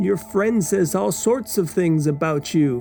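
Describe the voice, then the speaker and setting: Someone performs a put-on character voice at a fairly slow pace, with very wide pitch swings. Clear music plays in the background. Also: man, high pitch for a man. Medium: read story. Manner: smooth, sinister.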